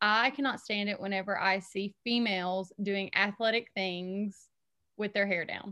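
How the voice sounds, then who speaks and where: Over a quiet background, a woman with a Southern US accent talks fairly slowly in a bright, sharp tone at medium pitch, her intonation fairly even. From Alabama, Huntsville. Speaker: school social worker. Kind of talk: casual interview chat.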